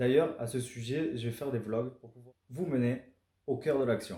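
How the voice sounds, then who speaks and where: A man with a southern French accent speaks at a fairly slow pace and a medium pitch. His tone is dark, mellow and somewhat breathy, with fairly even intonation. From southern France. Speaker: amateur karting driver and vlogger. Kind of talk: scripted vlog narration. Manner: casual, conversational.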